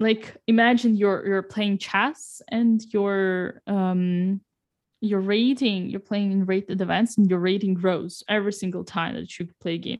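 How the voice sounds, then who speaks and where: With a Russian accent, a woman speaks at a fairly slow pace and a medium pitch, her intonation fairly even. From Russia, Saint Petersburg. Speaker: chess grandmaster and streamer. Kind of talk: casual interview. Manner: halting, many fillers.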